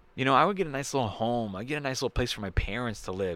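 On a very clean recording with a silent background, a man speaks loudly at a medium pitch, his voice making very wide pitch swings. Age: 30s. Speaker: comedian podcast host. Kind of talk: solo podcast monologue.

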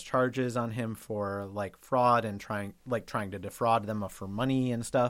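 Here is a man with a plain, everyday voice. He speaks at a medium pitch and a fairly slow pace. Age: 30s. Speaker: film podcast host. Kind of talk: casual chat.

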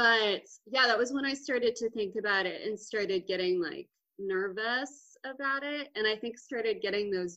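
Speaking in an American accent, this woman has an unremarkable speaking voice pitched fairly high. Her pace is fairly slow and her intonation lively. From Texas, Austin. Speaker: comedian and podcast co-host. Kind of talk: casual chat.

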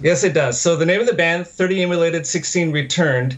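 Somewhat breathy, a man speaks at a fairly quick pace with ordinary pitch variation. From Ottawa, Canada. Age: 40s. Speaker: metal musician, music theory academic.

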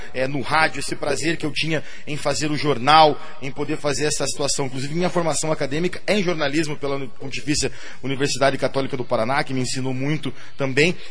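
The speech is very fast with fairly even intonation. Noticeable background noise and audible room echo are present. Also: man. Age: 30s. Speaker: city councillor. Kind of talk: radio interview.

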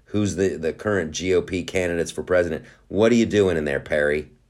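Captured in a very clean recording with a silent background, a man sounds animated in a very deep, low voice. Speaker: podcast host. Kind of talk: casual rant-style podcast monologue. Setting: home studio with noise outside. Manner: animated, profane, rambling with filler words.

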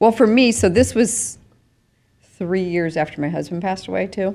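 With lively intonation, a woman speaks with vocal fry. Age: 60s. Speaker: podcast co-host and life coach. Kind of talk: casual chat.

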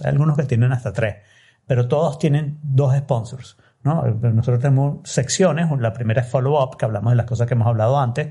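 At a fairly quick pace, a man speaks at medium pitch with ordinary pitch variation, his dark, mellow tone somewhat breathy. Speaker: podcaster. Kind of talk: interview.

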